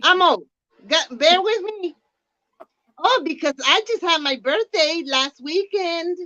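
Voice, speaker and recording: A woman speaks in a raised, projected voice at an extremely high pitch, with a bright, sharp tone and lively intonation. Her pace is very slow with long, frequent pauses, and the sound is dry and close with no echo. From Puerto Rico. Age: 60s. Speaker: penny shopper, co-host. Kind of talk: casual bilingual chat.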